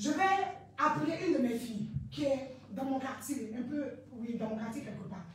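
Amid strong room echo and light background noise, a woman with a high pitch talks at a moderate pace with lively intonation. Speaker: evangelist giving testimony. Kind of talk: testimony. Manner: halting, repeats words, fervent. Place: church. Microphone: handheld.

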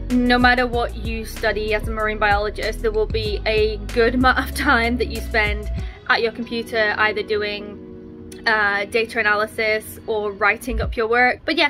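With clear music in the background, the woman's speech keeps a moderate pace. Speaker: marine biologist vlogger. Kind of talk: casual vlog chat. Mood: relaxed, content. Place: home room. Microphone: phone near.

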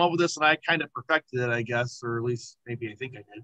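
Against a quiet background, a man speaks in a bright, sharp tone with lively intonation. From Indiana, near Chicago. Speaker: model railroad hobbyist, youth director. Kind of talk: video call presentation. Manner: casual with many fillers. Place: home room. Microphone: video call.

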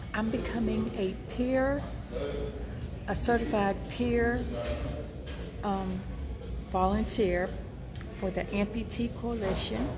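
Against clear music in the background, a woman speaks at a very slow pace with long, frequent pauses. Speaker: vlogger. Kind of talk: casual vlog chat. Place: shop. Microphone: earbuds.

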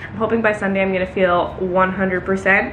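Delivered at a fairly quick pace, the speech carries audible room echo and light background noise. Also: woman. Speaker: vlogger. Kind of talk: casual vlog chat. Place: kitchen. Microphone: phone near.

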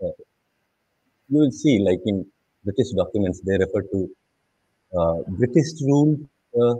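With lively intonation and a somewhat breathy voice, a man speaks with long, frequent pauses in a dry sound with no echo against a quiet background. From India, Jharkhand. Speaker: documentary filmmaker. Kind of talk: panel discussion. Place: home room. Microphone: video call.

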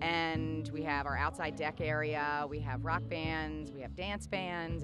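Clear music plays behind a woman whose voice has a dry sound with no echo. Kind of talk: interview answer. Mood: friendly promotional. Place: street. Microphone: handheld.

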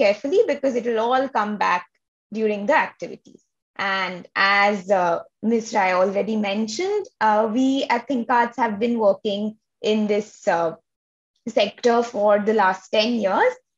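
At a fairly slow pace, a woman speaks with ordinary pitch variation against a quiet background. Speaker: arts organization host. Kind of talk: online event introduction. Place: home room. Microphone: webcam.

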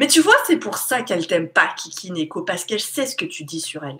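A bright, sharp tone at a fairly quick pace, with very wide pitch swings. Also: woman. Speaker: YouTube live streamer. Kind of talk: casual live chat with viewers. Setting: live stream with chat. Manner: animated, chatty. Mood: relaxed, playful. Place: home room. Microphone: webcam.

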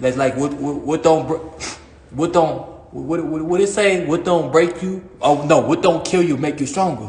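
Audible room echo surrounds the voice. The pace is moderate, with ordinary pitch variation. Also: man. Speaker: fitness livestreamer. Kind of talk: casual livestream chat. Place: gym. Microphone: phone near.

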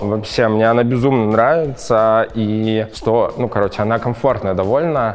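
The voice has ordinary pitch variation. Faint music plays in the background. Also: man. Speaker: fashion YouTuber. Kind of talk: casual unboxing vlog. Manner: animated. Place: studio. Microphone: lapel.

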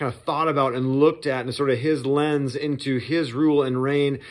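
Against a quiet background, the words come at a moderate pace. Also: man. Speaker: church pastor. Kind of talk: casual sermon preview talk. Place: home room.

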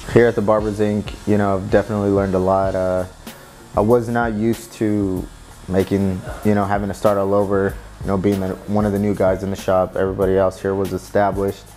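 With faint music in the background, a man with an American accent speaks at a very fast pace in a fairly low pitch and a monotone, flat intonation. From San Jose, California. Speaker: barber. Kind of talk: interview answer. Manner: casual, reflective. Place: shop.

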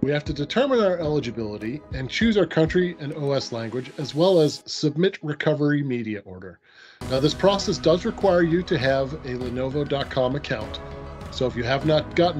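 A man's fairly quick speech over clear music in the background. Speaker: presenter. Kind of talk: tutorial.

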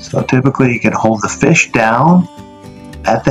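The voice moves at a moderate pace with faint music in the background. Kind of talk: tutorial. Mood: relaxed, slightly hurried. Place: kitchen. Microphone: phone near.

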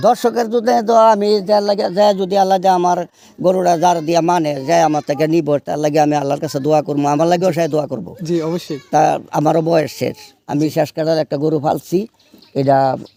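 His voice fairly high in pitch, a man speaks with ordinary pitch variation. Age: 70s. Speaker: cattle farmer. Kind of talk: field interview.

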